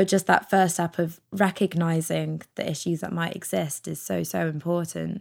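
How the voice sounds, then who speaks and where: A woman speaks at a moderate pace with hardly any pauses. The recording is very clean, with a silent background. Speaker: podcast host. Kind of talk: interview. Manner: laughs often, casual.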